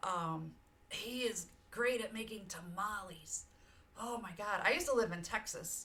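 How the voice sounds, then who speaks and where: Speaking fairly slowly in an American accent, a woman with a fairly high pitch uses an animated tone, with audible room echo and noticeable background noise. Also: ordinary pitch variation. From US South, Georgia. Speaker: streamer. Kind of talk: casual chat. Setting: live stream. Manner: loud.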